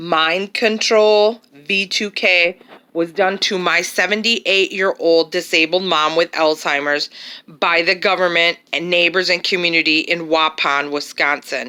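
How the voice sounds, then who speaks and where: Using a plain, everyday voice, a woman talks at a fairly slow pace with a fairly low pitch and fairly even intonation. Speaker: caregiver daughter. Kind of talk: voice-over narration of home camera footage.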